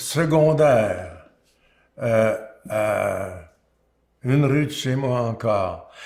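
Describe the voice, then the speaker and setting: Speaking at a very slow pace, a man uses a medium pitch, a somewhat breathy voice and ordinary pitch variation. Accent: Quebec. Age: 80s+. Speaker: singer-songwriter. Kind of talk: interview answer. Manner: hesitant, halting.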